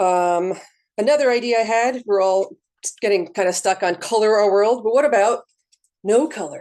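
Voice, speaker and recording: A woman speaks with lively intonation. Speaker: librarian. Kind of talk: workshop presentation. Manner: fast; casual, filler-heavy.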